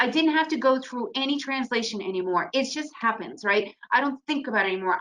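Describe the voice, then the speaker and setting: Her voice is raised and projected, high in pitch. The woman keeps a moderate pace. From United States. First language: Russian. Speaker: trader and trading educator. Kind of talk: webinar presentation.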